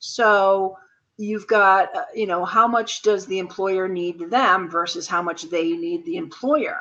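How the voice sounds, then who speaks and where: A woman with an ordinary speaking voice talks in a medium pitch. Her intonation is lively. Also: fairly slow pace. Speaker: co-host of a business video chat. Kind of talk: casual discussion.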